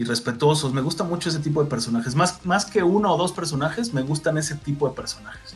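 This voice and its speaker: With music playing behind him, a man in a Mexican accent talks very fast with hardly any pauses, his fairly high pitch showing ordinary variation. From Mexico. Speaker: voice actor. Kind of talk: interview answer.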